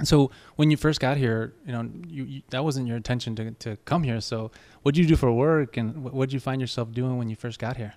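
In a very clean recording with a silent background, a man with a Spanish accent speaks at a fairly quick pace, medium in pitch and fairly even in intonation. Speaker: podcast host. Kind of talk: interview.

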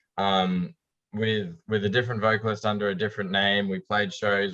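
A man with an Australian accent, fairly low in pitch, with fairly even intonation. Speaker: rock bassist. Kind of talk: casual chat.

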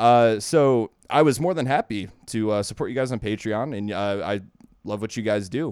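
With an American accent, a man talks in a normal speaking voice at a moderate pace, his pitch medium with ordinary pitch variation. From Ohio, US Midwest. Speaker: brewery worker. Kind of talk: casual chat.

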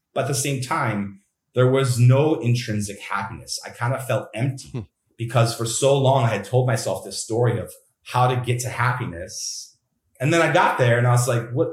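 A somewhat breathy man speaks at a medium pitch. His pace is moderate, with ordinary pitch variation. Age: 30s. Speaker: mental health coach. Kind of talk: interview.

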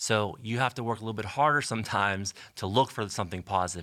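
In a very clean recording with a silent background, a man talks at a very fast pace with an American accent. His pitch is fairly low and his tone bright and sharp. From western Pennsylvania, Canonsburg. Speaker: school superintendent. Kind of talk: interview.

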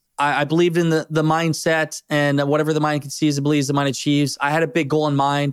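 Energetic speech at a fairly quick pace with an American accent, a very clean recording over a silent background, and a dry, close sound with no echo. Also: man. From US Midwest, northeast Iowa. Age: 20s. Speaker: entrepreneur. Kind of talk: interview.

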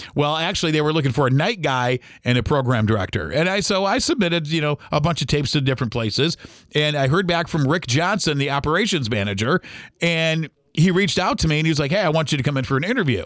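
A man at a very fast pace, with ordinary pitch variation and very even loudness. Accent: Midwestern US. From Ohio (Toledo). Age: 40s. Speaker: radio host. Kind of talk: casual monologue. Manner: hesitant with many fillers.

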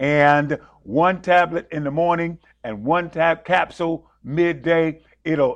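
Animated in tone, a man with an American accent speaks at a high pitch. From rural South Carolina, then New York City. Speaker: preacher and show host. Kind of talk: sermon-style devotional talk and interview. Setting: studio, live broadcast. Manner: animated, exclamatory, fervent.

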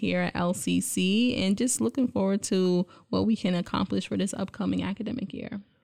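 With an American accent, a woman speaks in a plain, everyday voice at medium pitch. Her pace is moderate, with ordinary pitch variation. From Brooklyn, New York City. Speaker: college associate dean. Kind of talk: casual interview.

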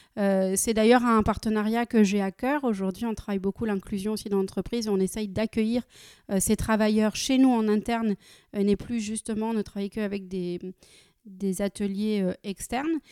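On a very clean recording with a silent background and a dry, close sound with no echo, a woman with a fairly high pitch and a dark, mellow tone speaks at a moderate pace with fairly even intonation. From France, Nancy (Lorraine). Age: 30s. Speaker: company director. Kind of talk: interview. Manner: frequent hesitations (euh).

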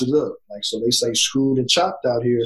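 Male speech, somewhat breathy, with an American accent. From Southeast Texas. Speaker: college basketball coach. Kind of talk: casual podcast interview and film breakdown.

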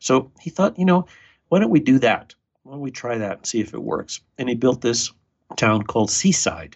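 Vocal fry runs through a man's moderate-paced speech, which shows very wide pitch swings and big swings in loudness. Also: medium pitch for a man. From Argentina. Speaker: builder and author. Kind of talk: casual interview conversation.

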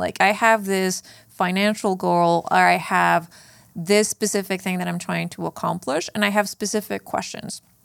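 At a moderate pace, a woman speaks in a Spanish accent on a very clean recording with a silent background. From northern Mexico (Chihuahua). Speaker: fintech product executive. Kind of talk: interview. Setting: studio.

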